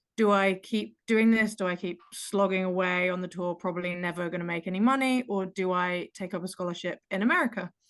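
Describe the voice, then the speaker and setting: With an English accent, a woman speaks at a fairly quick pace with fairly even intonation and hardly any pauses. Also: medium pitch for a woman. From England. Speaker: pickleball player. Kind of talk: casual chat.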